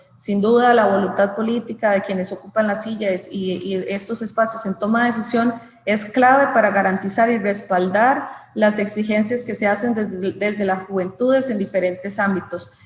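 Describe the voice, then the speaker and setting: At a moderate pace, the speaker keeps a fairly even intonation over noticeable background noise. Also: woman, medium pitch for a woman. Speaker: government official. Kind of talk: formal speech.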